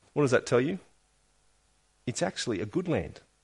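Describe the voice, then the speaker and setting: A man with an Australian accent, fairly high pitch and lively intonation, against a quiet background. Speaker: pastor. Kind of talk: sermon. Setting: church.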